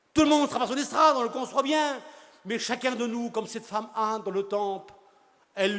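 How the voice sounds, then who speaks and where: The man's voice is pitched extremely high. Its rise and fall in pitch is normal. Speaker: preacher. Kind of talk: sermon. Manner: fast.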